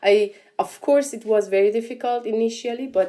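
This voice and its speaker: A woman speaks with a dark, mellow tone. Her pace is moderate and her pitch variation ordinary. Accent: Persian. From Iran. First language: Persian. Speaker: entrepreneur. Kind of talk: interview. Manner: halting, many repetitions and fillers.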